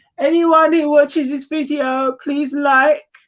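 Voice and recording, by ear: Her voice is high-pitched, and this woman speaks at a slow pace. There is little pitch movement.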